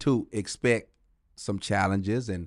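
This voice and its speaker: This is a plain, everyday voice with ordinary pitch variation, heard over a quiet background. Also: man. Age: 50s. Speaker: touring comedian. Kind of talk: casual chat.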